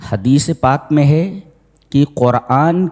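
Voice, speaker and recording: The sound is dry and close, with no echo. A man speaks in a dark, mellow tone. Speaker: Islamic scholar giving a Quran commentary lecture. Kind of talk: religious sermon, tafseer lecture.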